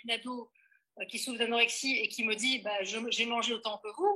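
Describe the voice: A woman's bright, sharp, fairly high voice at a fairly quick pace, with fairly even intonation.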